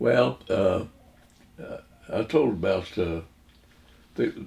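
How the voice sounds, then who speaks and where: A man with a fairly low pitch and vocal fry speaks at a fairly slow pace. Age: 80s+. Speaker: WWII Navy veteran. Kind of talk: interview answer.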